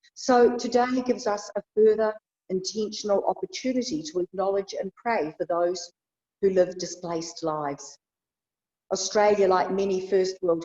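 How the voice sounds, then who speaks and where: Captured with a dry, close sound and no echo, a woman with a New Zealand accent speaks at medium pitch and a moderate pace. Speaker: bishop. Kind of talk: sermon. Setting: church.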